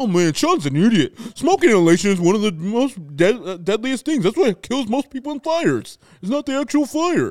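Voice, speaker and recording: At a moderate pace, a man does a put-on character voice pitched high, with very wide pitch swings. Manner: mocking, earnest know-it-all.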